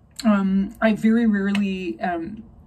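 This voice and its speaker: Noticeable background noise under a woman's voice at medium pitch. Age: 40s. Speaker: animal rescue director. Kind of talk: personal vlog monologue. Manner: halting, many fillers.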